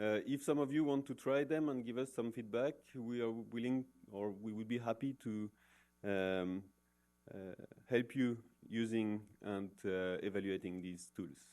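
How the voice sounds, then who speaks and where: Medium-pitched man in a French accent at a fairly slow pace. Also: ordinary pitch variation. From France. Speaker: professor. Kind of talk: conference talk. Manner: many hesitations (uh, um).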